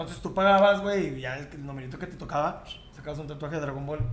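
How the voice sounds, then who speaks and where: Lively intonation marks this man's fairly high-pitched voice. Audible room echo surrounds it. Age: 30s. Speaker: podcast co-host. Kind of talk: casual chat.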